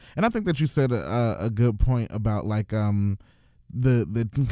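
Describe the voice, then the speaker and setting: Medium in pitch, a man's voice has a dark, mellow tone. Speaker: podcast co-host. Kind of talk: casual chat.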